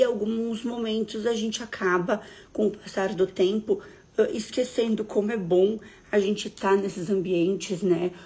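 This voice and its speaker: With a very clean recording and a silent background, a woman speaks at a fairly slow pace in a medium pitch, somewhat breathy and with fairly even intonation. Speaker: therapist or coach hosting a live stream. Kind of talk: live stream talk to viewers.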